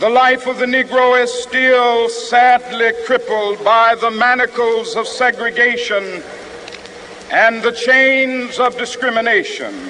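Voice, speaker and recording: A man with an extremely high voice speaks in a raised, projected way, fairly slowly, with monotone, flat intonation and a solemn, passionate tone. Noticeable background noise runs underneath. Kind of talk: public speech, oratory. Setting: outdoors, large crowd rally. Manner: solemn, passionate, rhetorical, rhythmic.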